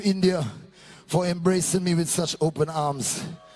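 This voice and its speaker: At a moderate pace, a man speaks with a high pitch over noticeable background noise. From Trinidad and Tobago. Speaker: soca singer. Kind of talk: stage banter. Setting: stage with audience.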